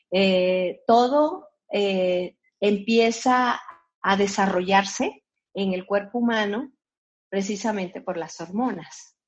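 A woman talks very slowly in a medium register, her pitch varying in an ordinary way. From Colombia. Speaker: physician. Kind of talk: interview. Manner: halting, with many fillers.

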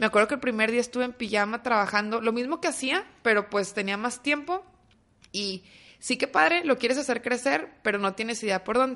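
This woman's voice sits fairly high, with a bright, sharp tone. She talks at a fairly quick pace with lively intonation. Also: quiet background. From Mexico, Torreón (Coahuila). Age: 30s. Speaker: entrepreneur, startup founder. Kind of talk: casual interview.

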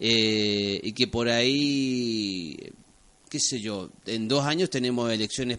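The man talks in a mid-range pitch that varies in an ordinary way. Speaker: radio host. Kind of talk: casual radio interview.

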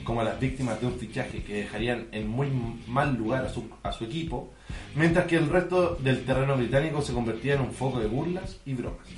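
A man with a Chilean accent speaks at a medium pitch with ordinary pitch variation and a fairly quick pace. The recording has audible room echo and noticeable background noise. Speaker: podcast co-host. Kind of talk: reading aloud; casual chat.

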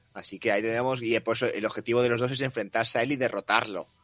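Music plays in the background as a man talks at a moderate pace, the sound dry and close with no echo. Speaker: wrestling podcast host. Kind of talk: casual chat.

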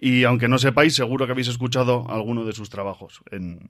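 A man with a plain, everyday voice, at a moderate pace and with fairly even intonation. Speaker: podcast host. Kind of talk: live on-stage interview. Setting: stage with audience.

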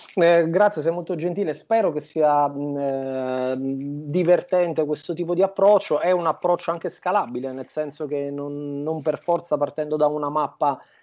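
Here a man speaks with a Campanian accent at a moderate pace. His fairly high voice keeps a fairly even intonation. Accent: southern Italian (Campanian). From southern Italy, Campania (Avellino province). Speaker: Italian teacher. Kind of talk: interview conversation. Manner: halting, with repetitions and fillers.

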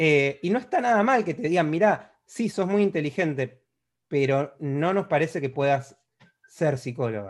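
Speaking with an Argentine accent at a fairly slow pace, a man uses a fairly high pitch with very wide pitch swings. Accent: Argentine Spanish (Rioplatense). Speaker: psychology podcast host. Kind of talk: solo introduction; casual interview.

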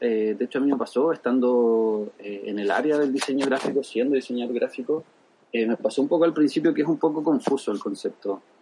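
Background noise is clearly audible throughout. Over it, a man's speech moves fairly quickly. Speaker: UX designer and design teacher. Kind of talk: interview.

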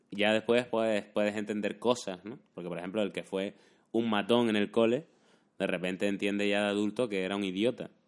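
An unremarkable speaking voice with fairly even intonation moves at a fairly quick pace. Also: man, fairly low pitch for a man. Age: 30s. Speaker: YouTuber and podcast host. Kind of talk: casual chat.

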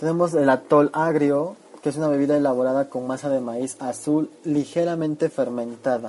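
Through noticeable background noise, a man with a fairly high pitch talks at a moderate pace with fairly even intonation. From Chiapas, Mexico. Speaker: food segment presenter. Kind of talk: scripted narration.

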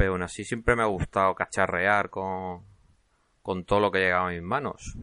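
In a slight Murcian accent, a man with a very deep, low pitch and a bright, sharp tone speaks at a moderate pace with fairly even intonation, the sound dry and close with no echo and the background quiet. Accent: slight Murcian (Cartagena). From Spain, Cartagena (Murcia). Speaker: podcast host, hobby game developer. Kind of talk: casual solo podcast monologue. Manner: hesitant, with frequent repetitions.

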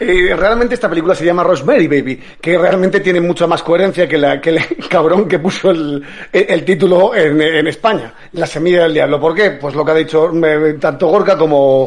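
Noticeable background noise sits behind a man speaking at a high pitch with ordinary pitch variation. His loudness stays very even. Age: 40s. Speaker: film podcast panelist. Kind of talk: casual chat.

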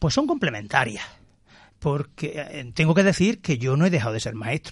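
At a moderate pace, this somewhat breathy voice carries on. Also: man. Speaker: school principal. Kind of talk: radio interview. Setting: radio studio.

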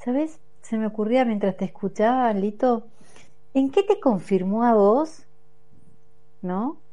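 Music plays behind a woman speaking at a very slow pace with long, frequent pauses. Her pitch is fairly high, with ordinary variation. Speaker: radio host. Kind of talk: radio interview. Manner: hesitant, many fillers.

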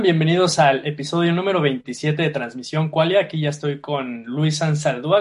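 Hardly pausing at all, a man talks in a fairly high-pitched voice with lively intonation. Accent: Mexican. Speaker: podcast host. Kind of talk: casual chat.

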